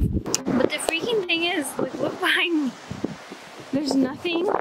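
Over loud background noise, a woman talks at a moderate pace with ordinary pitch variation, the sound dry with no echo. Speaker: travel vlogger. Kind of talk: casual vlog chat. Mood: frustrated but upbeat. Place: street. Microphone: phone near.

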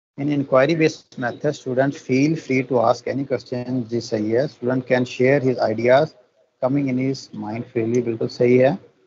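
With a normal speaking voice, a man talks at a medium pitch and moderate pace, keeping fairly even intonation and hardly any pauses. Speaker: teacher trainer. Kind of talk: online training lecture.

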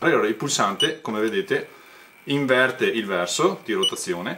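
A man speaks at a fairly quick pace with light background noise. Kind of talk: tutorial. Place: garage.

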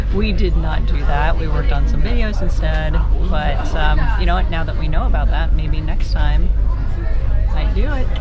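Over loud background music, a woman speaks at a moderate pace. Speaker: travel vlogger. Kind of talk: casual vlog chat. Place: boat. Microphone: phone near.

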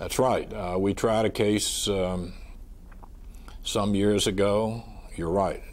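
A man with a slight Southern US accent, at a moderate pace. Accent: mild Southern US. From US South. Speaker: trial lawyer. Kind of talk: oral history interview. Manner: soft-spoken. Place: studio. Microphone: lapel.

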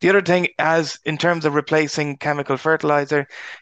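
A man's very fast speech in an Irish accent, with a dry, close sound with no echo and a quiet background. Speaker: agricultural researcher. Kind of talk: webinar presentation.

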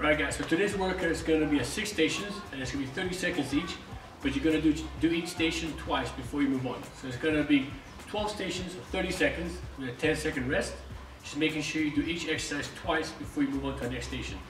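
A man talks at a very fast pace while faint music plays in the background. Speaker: fitness coach. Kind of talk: tutorial. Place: gym. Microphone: camera far.

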